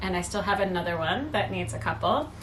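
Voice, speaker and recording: A soft-spoken woman talks over noticeable background noise. The room has an audible echo. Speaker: knitting podcaster. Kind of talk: casual chat. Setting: home at night.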